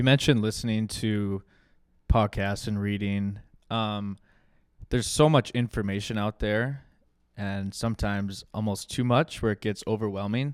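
In a normal speaking voice, a man talks at a moderate pace and fairly low pitch with fairly even intonation. The recording is very clean with a silent background, dry and close with no echo. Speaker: podcast host and former college hockey player. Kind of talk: interview questions at live show. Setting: stage with audience.

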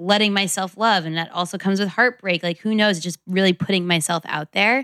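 The voice has a bright, sharp tone and fairly even intonation, captured on a very clean recording with a silent background. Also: woman. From New York City. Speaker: lifestyle blogger and brand founder. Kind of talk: casual chat.

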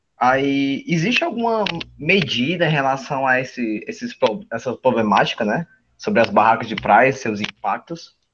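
Over a quiet background, a man talks at a moderate pace in a fairly high pitch with very wide pitch swings. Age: young. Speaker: student podcast host. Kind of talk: interview.

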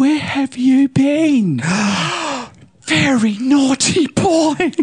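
Someone uses a put-on character voice, high in pitch and delivered at a very slow pace. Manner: scolding, mock-stern, teasing.

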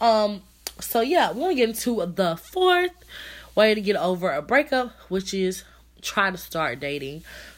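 A woman speaks at a moderate pace with lively intonation. The recording is very clean, with a silent background. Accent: American. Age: 20s. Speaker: podcast host. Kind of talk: casual solo podcast talk. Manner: halting, many fillers.

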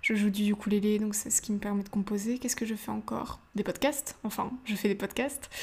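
Her voice is somewhat breathy, at a medium pitch for a woman. The intonation stays fairly even. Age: young. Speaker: podcast host. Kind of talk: motivational monologue. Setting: home, seated in living room.

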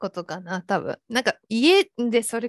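A normal speaking voice from a woman, fairly high in pitch with ordinary pitch variation, dry and close with no echo, on a very clean recording over a silent background. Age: 20s. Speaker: freelance designer. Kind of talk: casual chat.

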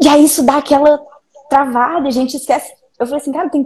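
A woman's high-pitched voice with a dark, mellow tone. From Minas Gerais, Belo Horizonte. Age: 20s. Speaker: video editor. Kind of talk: casual chat.

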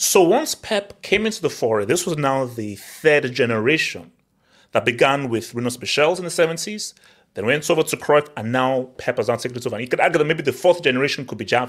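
A man's fairly high, animated voice, lively in intonation and fairly quick in pace. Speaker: football podcast host. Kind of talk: heated football debate, live hangout. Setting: online live stream hangout. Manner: animated, fast talker.

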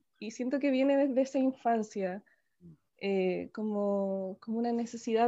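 A woman speaks at a fairly slow pace in a high voice. Her tone is dark and mellow. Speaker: spiritual teacher and activist. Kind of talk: interview. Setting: video call.

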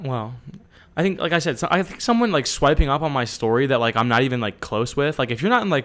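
Talking at a very fast clip, a man with an American accent uses a medium pitch and lively intonation. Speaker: podcast co-host. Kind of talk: casual chat.

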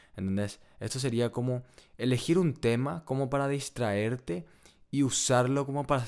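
In a very clean recording with a silent background, a man speaks at a moderate pace in a medium pitch with ordinary pitch variation. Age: 20s. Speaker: economics student, podcast co-host. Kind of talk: casual chat.

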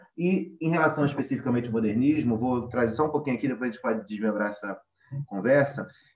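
A man with a medium-pitched voice rattles along very fast. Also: ordinary pitch variation. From Rio de Janeiro. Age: 20s. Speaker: literature researcher. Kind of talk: panel discussion. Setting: remote recording.

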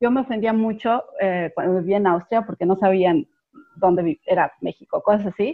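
A woman at medium pitch, speaking at a moderate pace with ordinary pitch variation and very even loudness, has an ordinary speaking voice. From Mexico City. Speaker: panel guest. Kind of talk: casual panel chat.

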